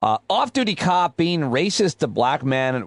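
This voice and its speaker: A man with an ordinary speaking voice and lively intonation at a fairly slow pace, in a dry, close sound with no echo and a quiet background. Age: 40s. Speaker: podcast host. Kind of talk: news roundup podcast monologue. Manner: casual, conversational.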